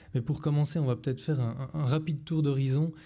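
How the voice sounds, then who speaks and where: A man with a Swiss accent speaks at a fairly high pitch. His tone is dark and mellow, with fairly even intonation. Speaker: astrophysicist. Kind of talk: lecture.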